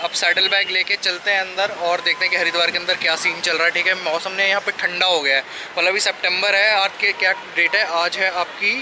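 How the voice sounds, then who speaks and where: A man's raised, projected voice at a fairly quick pace, monotone and flat, with very even loudness and noticeable background noise. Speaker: motovlogger. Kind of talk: casual vlog chat. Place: street. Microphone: phone near.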